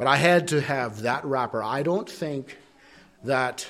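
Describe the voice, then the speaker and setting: A man speaks at a very slow pace, with audible echo from the room. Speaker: preacher. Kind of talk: sermon. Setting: church.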